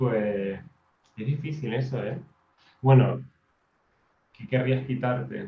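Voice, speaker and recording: Speaking at a very slow pace with long, frequent pauses, a man's voice carries vocal fry. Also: medium pitch for a man, ordinary pitch variation. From Canary Islands, Tenerife. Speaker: maths teacher and writer. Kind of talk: podcast interview. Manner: hesitant, repeats words.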